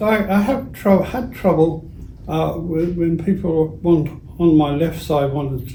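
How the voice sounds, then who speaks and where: Noticeable background noise and audible room echo surround the voice. Its pitch varies in an ordinary way. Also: man. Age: 80s+. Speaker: retired school teacher. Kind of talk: interview.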